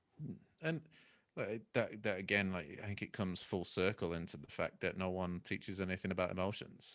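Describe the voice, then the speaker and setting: A man talks in a very deep, low pitch with a Mancunian accent. His pace is fairly quick, with ordinary pitch variation. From Manchester, northern England. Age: 30s. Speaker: keynote speaker and coach. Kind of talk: casual chat. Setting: video call.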